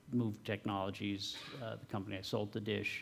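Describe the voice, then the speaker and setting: A man speaks at a fairly low pitch with vocal fry. His pitch variation is ordinary. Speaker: tech company founder and CTO. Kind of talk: talk and audience Q&A answers. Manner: soft-spoken.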